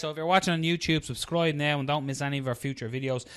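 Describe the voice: Loud and fast, a man talks in a fairly high, fairly bright voice with fairly even intonation, on a very clean recording with a silent background.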